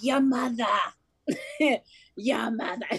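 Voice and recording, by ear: A woman puts on a high-pitched character voice. It comes out raspy.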